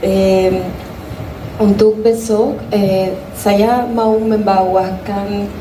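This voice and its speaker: Speaking at a very slow pace with flat, monotone intonation, a woman with a Spanish accent talks at a medium pitch, with audible room echo and noticeable background noise. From Ecuador. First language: Spanish (speaking Indonesian). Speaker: musician and dancer. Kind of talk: panel talk at festival press forum. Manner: halting, non-native speech.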